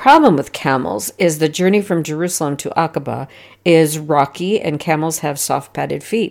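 In a very clean recording with a silent background, a woman speaks in a very deep, low voice with ordinary pitch variation. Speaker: religious teacher. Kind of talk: scripture study lesson.

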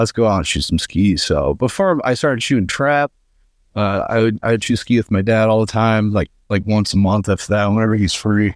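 A man with an American accent and fairly low pitch at a moderate pace, with ordinary pitch variation, in a very clean recording with a silent background. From northeastern Pennsylvania. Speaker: competitive trapshooter. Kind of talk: casual interview. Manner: hesitant, many fillers.

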